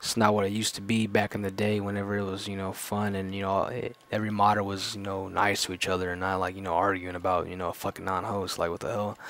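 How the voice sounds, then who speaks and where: Over noticeable background noise, a man with a fairly low pitch talks very fast in a monotone, flat way. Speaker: gaming YouTuber. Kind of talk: casual vlog monologue. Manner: halting, many fillers.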